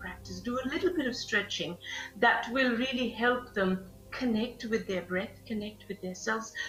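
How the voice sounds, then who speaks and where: Over music in the background, a woman with a Bengali accent and a fairly high pitch speaks at a moderate pace. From Bangladesh. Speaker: yoga instructor. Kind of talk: live fitness class. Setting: live stream. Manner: halting.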